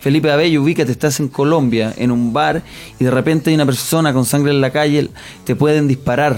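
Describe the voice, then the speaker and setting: The speech comes at a very fast pace with fairly even intonation. Music plays in the background. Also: man. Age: 20s. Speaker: comedian. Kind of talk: comedic radio banter. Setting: studio.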